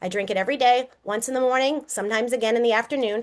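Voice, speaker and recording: With a Boston accent, a high-pitched woman speaks at a very fast pace against a quiet background. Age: 50s. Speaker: network marketing presenter. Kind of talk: sales pitch.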